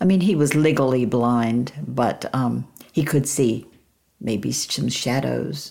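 Very slow and very deep, a woman's voice carries vocal fry and a dark, mellow tone. Her pitch variation is ordinary. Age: 80s+. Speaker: author. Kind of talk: casual chat.

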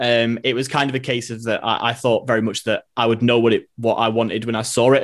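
A man's very fast, medium-pitched voice with a Manchester accent. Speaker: City fan and writer. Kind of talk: casual football chat.

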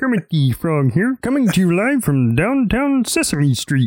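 At a moderate pace, this put-on character voice sits at a middle pitch and swings very widely in pitch.

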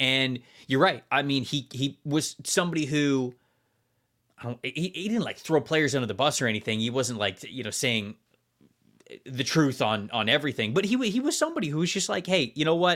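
A man with an American accent talks in an unremarkable speaking voice, fairly high in pitch and fairly quick. His intonation is lively, and the recording is very clean with a silent background. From Florida. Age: 30s. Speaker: football podcast host. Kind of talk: casual chat.

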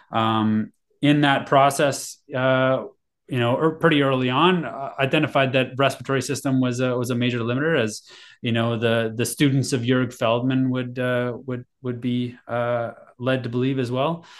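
An ordinary speaking voice from a man at a medium pitch, moderate pace and fairly even intonation. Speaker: endurance coach and breathing device founder. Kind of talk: interview.

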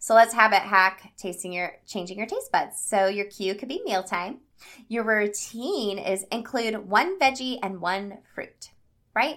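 With an enthusiastic tone, a woman talks using ordinary pitch variation and big swings in loudness. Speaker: health habits coach and podcast host. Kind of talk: solo podcast monologue. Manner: fast.

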